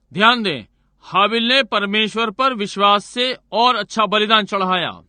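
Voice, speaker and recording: The man's voice sits at a high pitch. His intonation is fairly even. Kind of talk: Hindi dubbed sermon voiceover.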